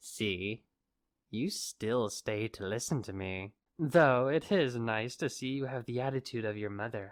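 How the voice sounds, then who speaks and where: A put-on character voice comes through at low pitch and a moderate pace in a very clean recording with a silent background. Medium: audio drama. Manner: taunting, theatrical, smug.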